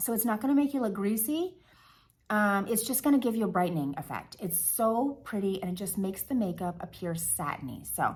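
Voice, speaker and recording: Over a silent background on a very clean recording, a woman speaks fairly quickly with lively intonation and a somewhat breathy voice. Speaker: beauty vlogger. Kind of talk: tutorial. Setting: close to the camera. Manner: whispering at times.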